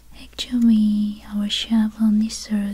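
Someone soft-spoken talks in a gentle tone against a quiet background. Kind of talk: soft-spoken roleplay shop talk. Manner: soft, gentle ASMR shopkeeper voice. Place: home room.

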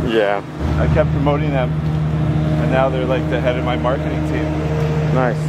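There is loud background noise as a man speaks. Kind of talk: casual vlog chat. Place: farm machine. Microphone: camera far.

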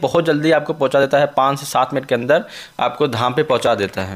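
The pitch variation here is ordinary. A man delivers his words at a moderate pace. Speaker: travel vlogger. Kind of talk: casual vlog chat. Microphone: phone near.

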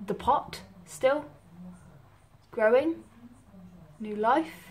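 The voice belongs to a woman with ordinary pitch variation. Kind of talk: casual vlog chat. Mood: soft, amused, affectionate. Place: home room. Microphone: phone near.

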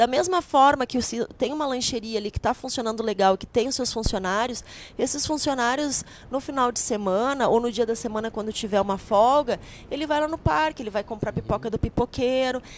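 Speaking at a fairly quick pace in a southern Brazilian accent, a woman with a high pitch and ordinary pitch variation is heard in a dry sound with no echo. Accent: Brazilian Portuguese, gaúcho. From southern Brazil, Rio Grande do Sul (Paranhana valley); Rio Grande do Sul, Brazil. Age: 40s. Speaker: political candidate; candidate. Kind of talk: interview. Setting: studio, live broadcast. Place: studio. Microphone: handheld.

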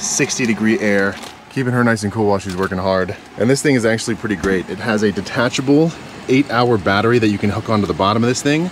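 A man talks at a very fast pace with ordinary pitch variation, in a dry sound with no echo and light background noise. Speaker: van life vlogger. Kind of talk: casual vlog chat, sponsor read. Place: car. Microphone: phone near.

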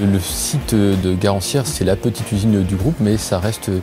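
Clear music plays behind a man. He speaks at a moderate pace with a fairly low pitch. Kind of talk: interview answer. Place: office. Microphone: lapel.

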